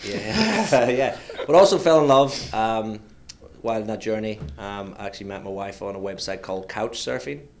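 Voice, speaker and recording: A man's fairly low voice with an Irish accent, lively intonation and big swings in loudness, amid audible room echo and noticeable background noise. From Ireland. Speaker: logistics entrepreneur. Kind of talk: casual chat. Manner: fast.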